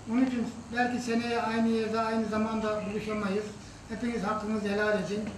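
A man's high pitch in a monotone, flat intonation at a fairly quick pace, with light background noise and audible room echo. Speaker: husband celebrating anniversary. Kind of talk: speech to family at anniversary dinner. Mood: warm, reflective, grateful. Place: hall. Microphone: camera far.

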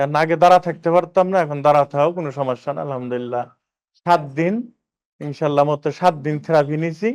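He speaks with an ordinary speaking voice. His pitch is fairly high for a man, with ordinary pitch variation. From Bangladesh, Rajbari district. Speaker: patient, migrant worker. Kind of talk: patient testimonial.

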